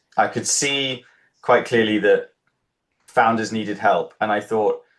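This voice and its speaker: With a British accent, a man speaks at a medium pitch and a fairly slow pace against a quiet background. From UK. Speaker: startup founder and incubator co-founder. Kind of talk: interview. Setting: livestream.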